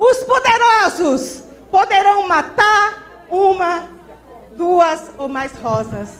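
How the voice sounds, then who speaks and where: Crowd noise fills the background as a woman speaks very slowly with lively intonation. Audible room echo surrounds her voice. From Brazil, Maranhão. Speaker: social movement activist. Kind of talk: reading aloud.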